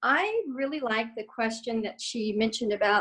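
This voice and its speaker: A woman talks at a fairly slow pace in a fairly high pitch. She has an ordinary speaking voice. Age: 60s. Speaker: participant in women's wellness circle. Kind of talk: casual group video chat. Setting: video call.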